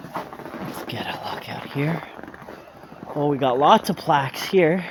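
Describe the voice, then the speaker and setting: A man at a very slow pace with big swings in loudness, audible room echo and noticeable background noise. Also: fairly high pitch for a man, ordinary pitch variation. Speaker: vlogger. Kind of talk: walking tour vlog with reading of plaques. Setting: outdoors.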